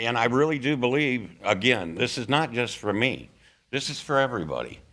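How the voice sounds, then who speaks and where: Speaking at a fairly quick pace, a man with a medium pitch and a bright, sharp tone shows ordinary pitch variation, with audible room echo around him. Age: 60s. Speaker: resident at public comment. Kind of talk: public comment at council meeting. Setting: council chambers.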